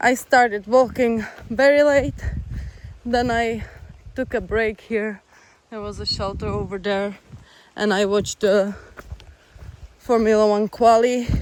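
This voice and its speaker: Speaking with a Czech accent at a fairly slow pace, the voice leaves long, frequent pauses. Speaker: long-distance hiker vlogger. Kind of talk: casual vlog narration. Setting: hiking shelter; outdoors.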